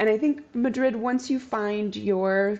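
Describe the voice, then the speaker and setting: A woman speaks fairly slowly with an American accent. Her tone is dark and mellow. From Arizona, US (Tucson). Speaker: food and wine tour business owner. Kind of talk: casual interview chat.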